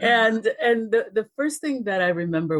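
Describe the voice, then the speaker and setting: A woman with a Spanish accent, very wide pitch swings and a moderate pace. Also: dry, close sound with no echo. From Dominican Republic. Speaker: race relations educator. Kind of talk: interview.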